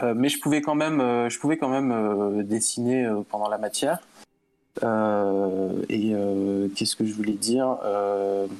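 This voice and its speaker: A man with a fairly low pitch and ordinary pitch variation speaks at a very slow pace over a quiet background. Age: 30s. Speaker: 2D animator and illustrator. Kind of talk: casual interview. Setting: online call over Discord with lag.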